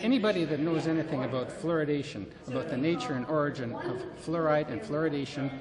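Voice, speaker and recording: Noticeable background noise and audible room echo surround a man speaking at a moderate pace, with a fairly high pitch and ordinary pitch variation. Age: 60s. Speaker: anti-fluoride activist. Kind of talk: interview testimony. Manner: halting, many fillers and repetitions; impassioned.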